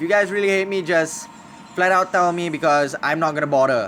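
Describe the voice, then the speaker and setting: With an American accent, a man talks in a high pitch at a fairly quick pace. His pitch varies in an ordinary way, and there is noticeable background noise. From Singapore. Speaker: gaming streamer. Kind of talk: live stream gameplay commentary. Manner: casual, halting.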